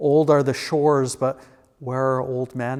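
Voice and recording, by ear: A natural read-aloud voice with fairly even intonation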